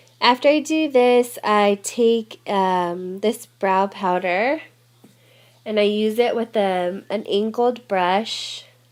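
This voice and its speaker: This woman's voice sits fairly high, with ordinary pitch variation. She talks at a very slow pace. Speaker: beauty vlogger. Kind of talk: tutorial.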